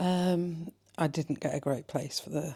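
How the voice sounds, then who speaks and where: A woman speaks quietly with ordinary pitch variation. Her tone is dark and mellow. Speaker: travel vlogger. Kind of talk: vlog talking to camera. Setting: hotel room. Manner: speaking quietly.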